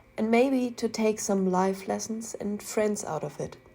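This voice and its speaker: Music plays in the background as a woman with a German accent speaks at a medium pitch and a moderate pace. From Germany. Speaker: artist, art commentary youtuber. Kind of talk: casual commentary over speedpaint.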